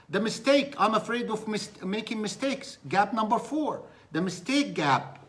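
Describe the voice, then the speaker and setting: A man with a non-native accent and a high voice speaks at a moderate pace, his pitch moving in an ordinary way. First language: Arabic. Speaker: business coach. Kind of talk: live-stream motivational talk. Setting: live stream. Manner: animated.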